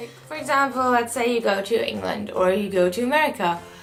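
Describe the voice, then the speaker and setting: Music plays in the background as a woman speaks with a fairly high pitch. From Germany. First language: German. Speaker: au pair. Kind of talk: casual talk to camera.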